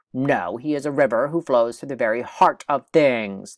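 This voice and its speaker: A man puts on a booming character voice, fairly high in pitch, at a moderate pace. The recording is very clean, with a silent background. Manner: thundering, booming.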